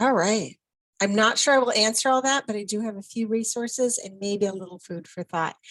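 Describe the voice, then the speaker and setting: A woman with a fairly high pitch and an American accent, ordinary pitch variation, big swings in loudness, and a fairly quick pace. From Minnesota. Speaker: education specialist, presenter. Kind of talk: online presentation.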